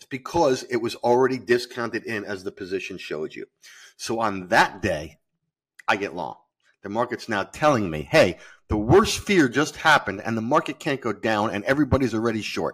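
On a very clean recording with a silent background, a man at medium pitch talks at a fairly quick pace with lively intonation and big swings in loudness. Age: 50s. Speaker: futures trader and hedge fund manager. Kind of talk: interview. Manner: halting, many fillers and repetitions.

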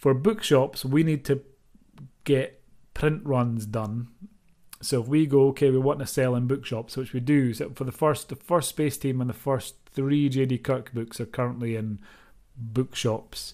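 In a dark, mellow tone, a man talks fairly slowly at a medium pitch with fairly even intonation. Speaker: author and publisher. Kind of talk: casual podcast monologue with Q&A.

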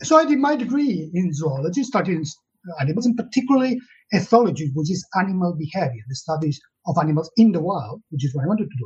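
This man's voice is high in pitch, moves very fast, and swings very widely up and down. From Catalonia. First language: Catalan. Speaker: zoologist and animal protection campaigner. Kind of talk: interview. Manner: halting.

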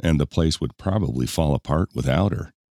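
Vocal fry in a dark, mellow tone, with a dry, close sound and no echo. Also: man. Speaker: audiobook narrator. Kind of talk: audiobook narration of romance fiction, with dialogue voiced in character. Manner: smooth, measured storytelling pace; shifts tone between characters.

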